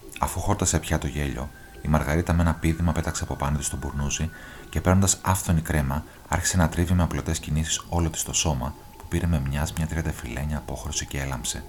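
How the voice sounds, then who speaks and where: A man's very deep, low voice at a fairly quick pace, with fairly even intonation and noticeable background noise. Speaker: audiobook narrator. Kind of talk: literary audiobook reading, scripted narration of a novel. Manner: measured, even storytelling pace.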